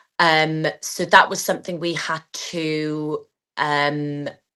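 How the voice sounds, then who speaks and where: With a slight Welsh accent, a woman speaks over a quiet background. Her tone is bright and sharp. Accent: slight Welsh twang. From Wales. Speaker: athlete and PE teacher. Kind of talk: interview.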